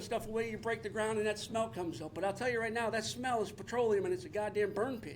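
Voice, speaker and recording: With an American accent, a man talks very fast at a high pitch, over noticeable background noise. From Detroit, Michigan. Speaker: resident speaking at public comment, military veteran. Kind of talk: public comment at township meeting. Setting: township boardroom meeting.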